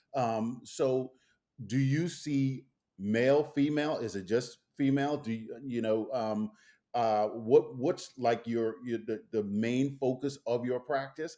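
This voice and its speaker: A man speaks very slowly in a dark, mellow tone at a medium pitch, with a slight Caribbean accent. His intonation stays fairly even, and the recording is very clean with a silent background. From Bahamas. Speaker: podcast host. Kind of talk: interview.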